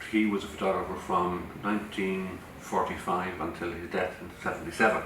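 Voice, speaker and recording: With an Irish Midlands accent, a man speaks at a moderate pace in a very deep, low, monotone voice. Room echo is audible, along with noticeable background noise. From Ireland, Portlaoise. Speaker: photographer. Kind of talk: interview.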